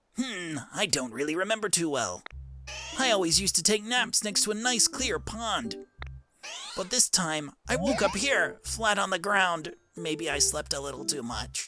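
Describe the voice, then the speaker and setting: Faint music plays behind a man who puts on a high-pitched character voice. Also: moderate pace. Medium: fan dub. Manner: eager, bouncy.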